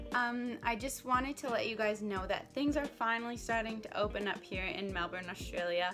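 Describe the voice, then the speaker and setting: Noticeable noise fills the background. Over it, a woman talks at a moderate pace, her pitch varying in an ordinary way. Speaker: dental student vlogger. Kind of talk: casual vlog chat. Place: home room. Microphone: phone near.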